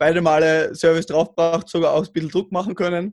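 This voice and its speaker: A man with an Austrian accent speaks at a fairly quick pace and fairly high pitch, in a monotone, flat intonation. The sound is dry and close, with no echo. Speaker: roundnet player. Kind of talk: casual chat. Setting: remote call. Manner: mumbling.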